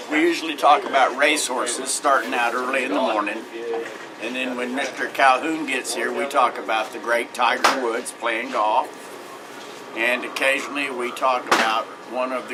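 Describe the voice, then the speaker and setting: With an American accent, a man speaks at a moderate pace and fairly even intonation, with audible room echo and noticeable background noise. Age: 60s. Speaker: local resident. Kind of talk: interview.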